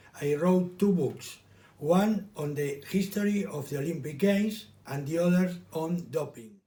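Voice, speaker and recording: With a Spanish accent, a man talks at a moderate pace in a high pitch with ordinary pitch variation. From Argentina. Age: 60s. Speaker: lawyer and election candidate. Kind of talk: campaign speech.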